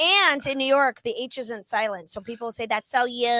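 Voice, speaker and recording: A woman with a high pitch and lively intonation talks at a moderate pace against noticeable background noise. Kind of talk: clear, neutral diction.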